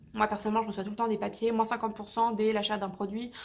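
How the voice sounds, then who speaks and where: A woman's fairly high, monotone voice with flat intonation, at a very fast pace. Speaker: beauty youtuber. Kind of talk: casual product review vlog.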